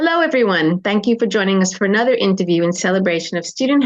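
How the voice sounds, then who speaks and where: Very fast speech from a woman at a medium pitch, her pitch varying in an ordinary way. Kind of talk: interviewer.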